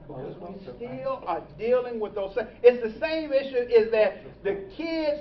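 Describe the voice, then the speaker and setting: Speaking at a fairly slow pace, a man with an extremely high pitch uses lively intonation and an animated tone, his loudness swinging widely against noticeable background noise. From Nashville, Tennessee. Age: 60s. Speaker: pastor. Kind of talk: speech. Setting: luncheon with audience.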